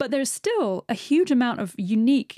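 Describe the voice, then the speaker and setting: A woman with a British accent and a dark, mellow tone, at a moderate pace, in a dry, close sound with no echo. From Britain. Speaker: marine biologist and science writer. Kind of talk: interview. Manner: halting.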